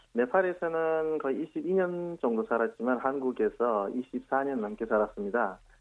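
A man with a Nepali accent speaks at a very slow pace in a fairly high pitch, his voice swinging very widely in pitch with hardly any pauses, on a very clean recording with a silent background. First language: Nepali (speaking Korean). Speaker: doctor. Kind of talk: interview. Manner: halting.

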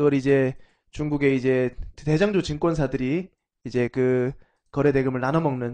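The man's fairly high pitch carries a dark, mellow tone. His loudness is very even and his intonation fairly even. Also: moderate pace. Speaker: investment firm CEO and author. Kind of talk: live-streamed talk show.

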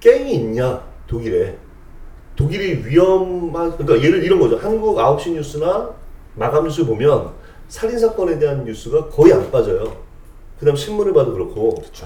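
Over noticeable background noise, a man speaks at a moderate pace with big swings in loudness. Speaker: podcast co-host. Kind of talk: casual chat.

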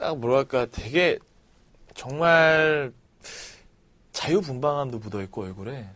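On a very clean recording with a silent background, a man with a fairly high pitch and lively intonation speaks at a very slow pace, with long, frequent pauses. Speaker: podcast co-host. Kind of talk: casual chat.

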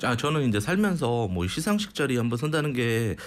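This man's medium-pitched voice moves in very wide pitch swings. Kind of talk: radio talk segment. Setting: studio.

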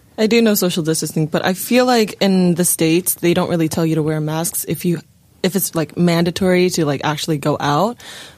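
A woman with an ordinary speaking voice and fairly low pitch talks at a fairly quick pace, with ordinary pitch variation and very even loudness. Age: 20s. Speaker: actor. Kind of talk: casual chat.

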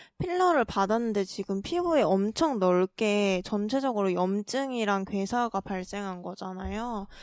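In an ordinary speaking voice, a woman speaks fairly slowly at a fairly high pitch with lively intonation, recorded very clean against a silent background with a dry, close sound and no echo. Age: 20s. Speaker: podcast co-host. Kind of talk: casual chat.

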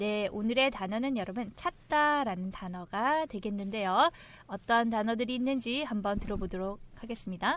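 Fairly high in pitch, a woman with a plain, everyday voice speaks at a moderate pace. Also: ordinary pitch variation. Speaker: podcast host. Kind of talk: casual chat, English lesson.

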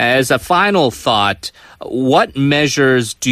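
Recorded very cleanly against a silent background, a man with an unremarkable speaking voice and ordinary pitch variation sounds dry and close with no echo. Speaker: radio interview host. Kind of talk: radio interview. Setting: studio.

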